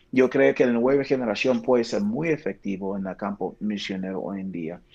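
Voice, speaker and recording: A man with an English accent, medium pitch, ordinary pitch variation and a moderate pace. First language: English (speaking Spanish). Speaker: pastor, missions director. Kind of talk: interview.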